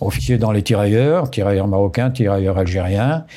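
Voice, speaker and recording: This man speaks with lively intonation in a fairly low pitch. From southern France, Pyrénées-Orientales (Roussillon), raised largely abroad. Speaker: retired army general. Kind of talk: interview. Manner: halting, many hesitations.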